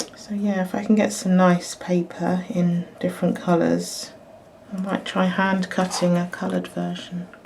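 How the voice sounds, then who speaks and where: A woman mumbling at a moderate pace against noticeable background noise. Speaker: crafter and illustrator. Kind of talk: tutorial. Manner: halting.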